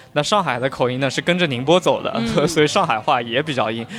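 A man's voice at a fairly quick pace, with ordinary pitch variation and noticeable background noise. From Huzhou, Zhejiang. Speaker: podcast host, city curator. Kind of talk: casual chat.

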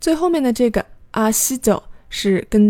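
A woman's dark, mellow tone comes through in a very clean recording with a silent background. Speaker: podcast host teaching Korean through dramas. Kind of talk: language lesson podcast.

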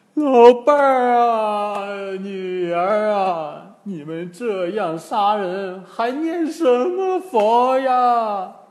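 A put-on character voice, fairly high in pitch, at a very slow pace. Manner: wailing, crying out.

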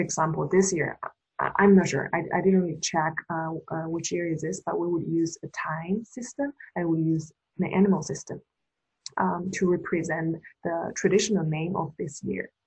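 Her voice is somewhat breathy and fairly low, a woman with a Chinese accent. She keeps her intonation fairly even. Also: moderate pace. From China. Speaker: podcast co-host. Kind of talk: casual chat.

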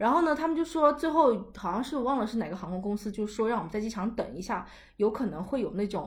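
A woman's fairly high, somewhat breathy voice, animated in tone, with very wide pitch swings and a fairly quick pace. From China. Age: 20s. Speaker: podcast host. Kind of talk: casual chat.

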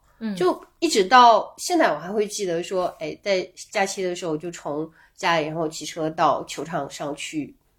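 A woman talks at a moderate speed in an unremarkable speaking voice, medium in pitch with ordinary pitch movement, on a very clean recording against a silent background. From Guangxi, small town near Liuzhou. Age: 40s. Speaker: travel tech product lead. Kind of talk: casual interview chat.

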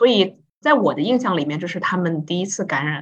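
The voice sounds somewhat breathy. Its intonation is lively. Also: woman. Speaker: university lecturer and podcast co-host. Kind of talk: casual chat.

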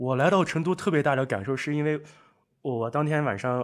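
A man talks at a fairly quick pace in a normal speaking voice, with ordinary pitch variation. The recording is very clean, with a silent background. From northwest China. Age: 20s. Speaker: guest, online speaking coach. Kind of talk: casual chat. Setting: at host's home.

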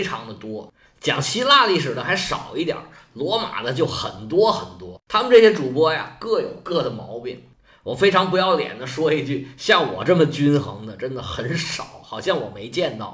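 A man's fairly high voice with very wide pitch swings and big swings in loudness, at a moderate pace, amid noticeable background noise and audible room echo. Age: 50s. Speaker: history podcaster. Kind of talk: history storytelling monologue.

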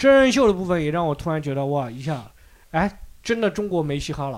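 A man talks at a fairly quick pace and a fairly high pitch. His pitch swings very widely. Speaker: podcast host. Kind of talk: casual chat.

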